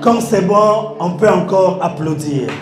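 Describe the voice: A man puts on a character voice, high-pitched and hoarse, at a fairly slow pace. There's a slight echo and clear background noise.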